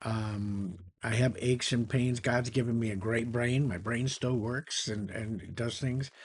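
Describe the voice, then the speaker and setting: A man speaks at a medium pitch and a fairly slow pace, with hardly any pauses. His voice is somewhat breathy, and his intonation stays fairly even. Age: 70s. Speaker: retired entrepreneur and YouTuber. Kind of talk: casual talk to camera. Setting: home office beside a flight simulator. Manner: conversational with frequent fillers.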